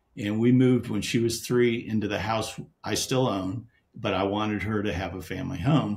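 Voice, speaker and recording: Somewhat breathy and fairly low in pitch, a man speaks at a moderate pace. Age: 60s. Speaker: real estate investor. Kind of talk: podcast interview. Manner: halting.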